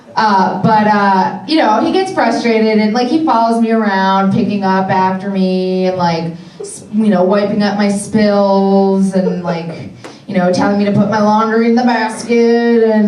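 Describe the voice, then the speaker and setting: With an American accent, a woman speaks at a fairly slow pace and medium pitch with ordinary pitch variation, amid noticeable background noise and audible room echo. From Philadelphia, US. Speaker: comedian. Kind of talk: stand-up. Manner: loud; sarcastic.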